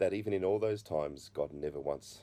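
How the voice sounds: With a dark, mellow tone, a man speaks using ordinary pitch variation.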